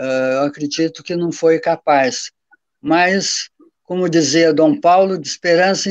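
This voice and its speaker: The man's fairly even intonation comes through in a dry, close sound with no echo. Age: 70s. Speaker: professor. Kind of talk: panel talk.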